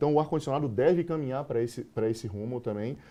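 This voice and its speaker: The man's tone is dark and mellow. He speaks at a very fast pace. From Bahia, Brazil. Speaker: sales manager. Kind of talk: interview.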